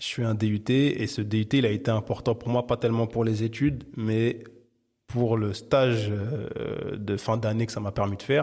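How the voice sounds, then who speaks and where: The speech moves at a moderate pace with monotone, flat intonation, in a very clean recording with a silent background. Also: man, medium pitch for a man. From Paris, France (13th arrondissement). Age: 30s. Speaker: bookseller, entrepreneur. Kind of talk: podcast interview. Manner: hesitant, many repetitions and fillers.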